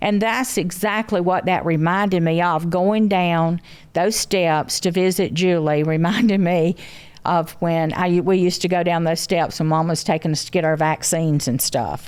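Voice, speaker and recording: A woman with a Southern US accent speaks with fairly even intonation in a very clean recording against a silent background. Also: moderate pace. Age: 70s. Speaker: grandmother, mother of show's family matriarch. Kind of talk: casual chat. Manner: halting.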